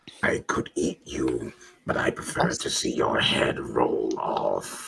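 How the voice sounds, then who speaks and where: Growling and raspy, a man does a put-on character voice at an extremely high pitch, speaking at a fairly slow pace. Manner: snarling, menacing.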